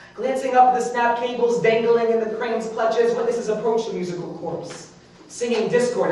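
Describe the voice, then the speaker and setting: The talking proceeds at a moderate pace, with noticeable background noise behind it. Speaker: spoken word poet. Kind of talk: spoken word performance.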